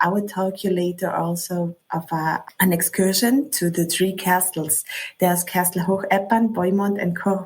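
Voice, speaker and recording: A woman speaks at a moderate pace in a somewhat breathy voice with fairly even intonation. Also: medium pitch for a woman. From South Tyrol, Italy. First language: German. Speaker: local travel expert. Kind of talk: interview. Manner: halting.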